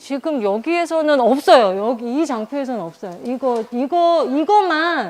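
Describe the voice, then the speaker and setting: In a high voice, a woman speaks with very wide pitch swings. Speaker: digital citizenship instructor training other instructors. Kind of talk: instructor training lecture.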